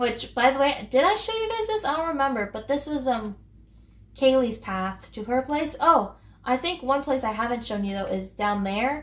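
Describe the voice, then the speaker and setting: Over noticeable background noise, a woman speaks at a moderate pace. Her high voice has lively intonation. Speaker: gaming YouTuber. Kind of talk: casual gameplay commentary. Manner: hesitant, many fillers.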